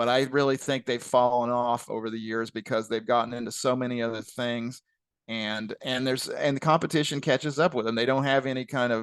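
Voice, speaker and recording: Medium-pitched male speech in a Southern Illinois accent, at a fairly quick pace with fairly even intonation, over a quiet background. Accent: Southern Illinois, southern-sounding. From US Midwest, west central Illinois. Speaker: retired statistician, company founder. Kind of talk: webinar Q&A.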